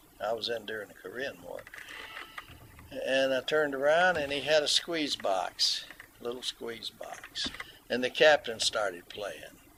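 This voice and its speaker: Noticeable background noise sits behind a man speaking at a fairly slow pace with long, frequent pauses. His pitch is fairly high, with ordinary variation. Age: 70s. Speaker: mandolin player, navy veteran. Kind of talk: interview, storytelling. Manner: halting, with many fillers.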